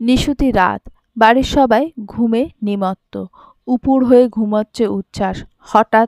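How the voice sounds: Ordinary pitch movement in a natural reading voice, set against a quiet background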